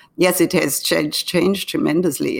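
A woman speaks. She has a German accent. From Germany. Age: 80s+. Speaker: artist. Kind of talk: interview.

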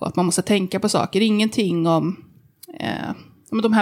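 A woman speaks at a moderate pace in a medium pitch, with vocal fry. Her pitch varies in an ordinary way. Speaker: journalist and body activist. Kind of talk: interview.

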